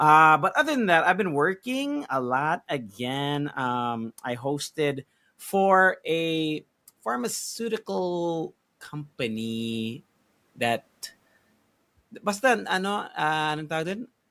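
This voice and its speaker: Very slowly, a man talks in a fairly high voice with a bright, sharp tone and very wide pitch swings. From United States (Filipino American). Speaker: podcast co-host and event host. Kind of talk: casual chat. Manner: casual, mixes English and Tagalog; halting, many fillers.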